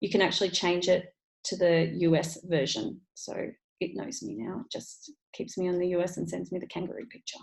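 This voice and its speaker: A woman speaks with an Australian accent. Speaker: online business coach. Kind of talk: tutorial. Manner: fast.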